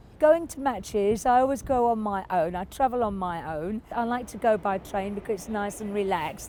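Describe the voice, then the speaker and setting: With an English accent, a woman speaks at a fairly slow pace in a dark, mellow tone of medium pitch. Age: 70s. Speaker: football fan. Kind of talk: interview. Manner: halting.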